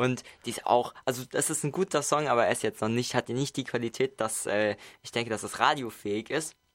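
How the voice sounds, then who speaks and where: An ordinary speaking voice from a man, medium in pitch with ordinary pitch variation, moves at a fairly quick pace over a very clean recording with a silent background. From Mainz, Germany. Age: 20s. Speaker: singer-songwriter and music producer. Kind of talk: radio interview. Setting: radio studio.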